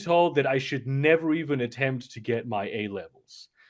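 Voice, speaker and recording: A man with a fairly high-pitched voice. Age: 30s. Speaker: content creator. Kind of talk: podcast interview. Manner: halting.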